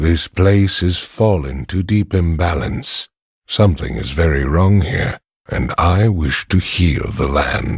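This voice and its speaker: A man adopts a put-on character voice, pitched very deep and low, and moves along at a fairly slow pace. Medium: video game. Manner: serious, measured.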